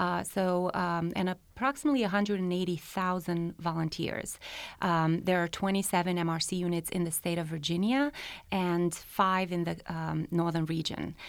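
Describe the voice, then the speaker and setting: Ordinary pitch variation in a Romanian accent, in a very clean recording with a silent background. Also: woman, fairly low pitch for a woman, moderate pace. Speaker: health department program coordinator. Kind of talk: interview about a county program.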